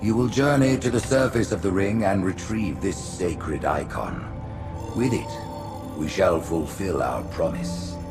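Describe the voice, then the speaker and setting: Someone uses a put-on character voice at a fairly slow pace. Loud music plays in the background. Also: man, fairly low pitch for a man. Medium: machinima. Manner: grandiose, condescending.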